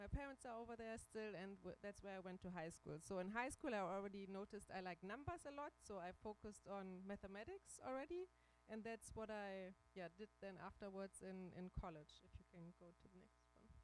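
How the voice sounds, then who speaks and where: A woman with a German accent, ordinary pitch variation, big swings in loudness and hardly any pauses. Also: medium pitch for a woman, fairly quick pace. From Germany, Braunschweig (northern Germany). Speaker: invited career speaker, finance professional. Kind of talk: career talk with slides. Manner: halting, many fillers and repeats.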